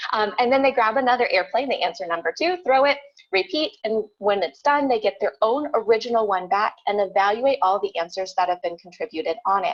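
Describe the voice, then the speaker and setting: A woman's fairly high, lively voice at a fairly quick pace with hardly any pauses. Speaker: teacher presenter. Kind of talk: conference presentation. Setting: virtual conference video. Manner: fast.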